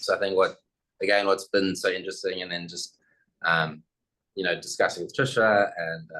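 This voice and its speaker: A man talks with a South African accent at a moderate pace. He leaves long, frequent pauses. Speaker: architect. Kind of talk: presentation.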